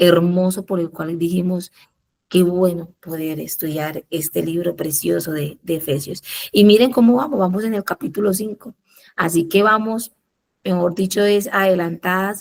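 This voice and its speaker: Soft-spoken and fairly low-pitched, a woman speaks at a fairly slow pace. Her pitch shows ordinary variation. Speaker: Bible study leader. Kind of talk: Bible study teaching.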